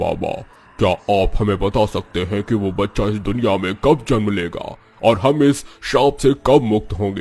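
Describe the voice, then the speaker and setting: In a cartoonish character voice, a man talks at a moderate pace with a fairly low pitch. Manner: pleading, desperate.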